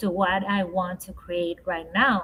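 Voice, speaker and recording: Very slowly, a woman speaks with a Spanish accent in a bright, sharp tone. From Ecuador. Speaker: leadership coach and speaker. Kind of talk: podcast interview. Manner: slow, halting.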